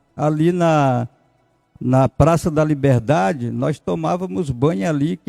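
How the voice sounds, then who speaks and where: Over music in the background, the speaker uses lively intonation at a fairly slow pace, with a dry, close sound and no echo. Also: man. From southern Bahia, Brazil. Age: 60s. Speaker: pastor and former vice mayor. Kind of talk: interview. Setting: studio.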